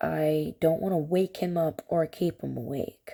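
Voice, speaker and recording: Her tone is dark and mellow, and her pitch is fairly low. This woman speaks at a fairly slow pace. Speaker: cooking vlogger. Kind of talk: casual cooking vlog chat. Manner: quiet to avoid waking child.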